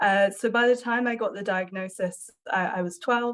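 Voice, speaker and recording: A woman speaks with an English accent. Her intonation stays fairly even. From southwest England. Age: 20s. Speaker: journalist. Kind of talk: interview testimony.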